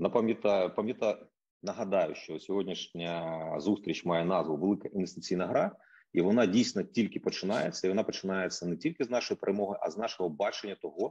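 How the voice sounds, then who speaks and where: A man speaks at a fairly quick pace with a slight Russian accent, his fairly low voice dark and mellow in tone. Pitch varies in an ordinary way, and the background is quiet. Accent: slight Russian accent in Ukrainian. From Ukraine, Kyiv. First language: Russian (speaking Ukrainian). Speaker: think tank economist. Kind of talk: introductory speech.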